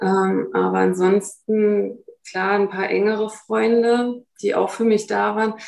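A woman speaks at a very slow pace. Her loudness stays very even throughout. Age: 40s. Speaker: mother living apart from her son, physiotherapy practice worker. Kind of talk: interview.

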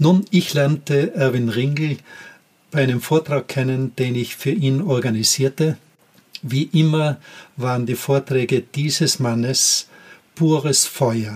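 Very slowly and with long, frequent pauses, a man with a fairly high pitch speaks in a somewhat breathy voice with ordinary pitch variation. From Austria, Tyrol. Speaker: podcast host, former teacher. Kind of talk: personal storytelling monologue.

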